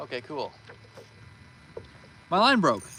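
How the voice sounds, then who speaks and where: There is noticeable background noise behind a man speaking with a Canadian accent. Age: 20s. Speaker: fishing streamer. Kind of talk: live stream chat. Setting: outdoors. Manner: casual.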